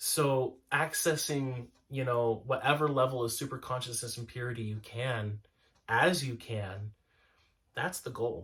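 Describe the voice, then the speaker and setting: In a very clean recording with a silent background, a man talks at a fairly slow pace, his medium pitch showing ordinary variation. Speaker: spiritual podcast co-host. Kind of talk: casual spiritual discussion. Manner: loud. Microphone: mic tuned to loud voice, quieter partner hard to hear.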